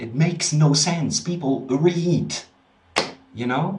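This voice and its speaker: Room echo is audible as a man talks with a Dutch accent. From Netherlands. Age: 30s. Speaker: spiritual practitioner and video host. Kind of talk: casual vlog monologue. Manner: halting, frequent repetitions and fillers.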